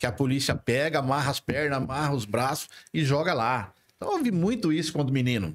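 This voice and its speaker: A man's fairly high voice at a fairly quick pace, very even in loudness, over a quiet background. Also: ordinary pitch variation. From Presidente Prudente, interior of São Paulo state, Brazil; São Paulo state, Brazil. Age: 60s. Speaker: mayoral pre-candidate; candidate. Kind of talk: podcast interview discussion. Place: studio. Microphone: studio mic.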